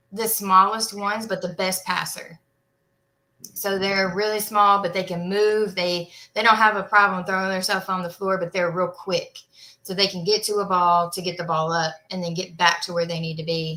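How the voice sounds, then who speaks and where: A woman speaks in a bright, sharp tone with monotone, flat intonation. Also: medium pitch for a woman, moderate pace. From Arkansas. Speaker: volleyball coach. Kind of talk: interview.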